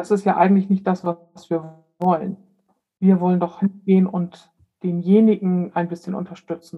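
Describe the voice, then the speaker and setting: In a dark, mellow tone that is somewhat breathy, the voice moves at a moderate pace with monotone, flat intonation. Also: woman. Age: 50s. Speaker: death doula. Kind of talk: interview.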